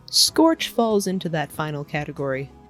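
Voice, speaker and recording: Over background music, a woman speaks at a moderate pace with very wide pitch swings. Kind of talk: documentary-style voice-over narration.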